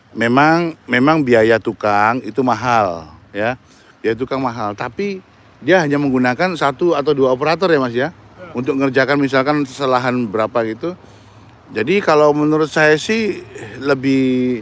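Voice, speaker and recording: The speaker's pace is moderate and the intonation lively, with noticeable noise behind the voice. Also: man, medium pitch for a man. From Indonesia, Surabaya. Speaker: vlogger. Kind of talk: live stream walking tour. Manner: animated.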